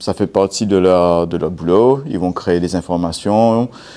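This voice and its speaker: A man with a non-native accent speaks at a very slow pace in a very deep, low pitch. His tone is dark and mellow, with ordinary pitch variation. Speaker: cybersecurity speaker. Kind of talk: conference talk. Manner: hesitant, many fillers.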